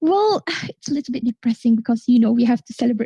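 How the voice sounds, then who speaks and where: In a dry, close sound with no echo, a woman with a Malaysian accent speaks in a dark, mellow tone at a fairly high pitch with ordinary pitch variation. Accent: Kuala Lumpur Malaysian English. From Malaysia, Sabah. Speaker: forum moderator. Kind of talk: live forum moderation. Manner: animated.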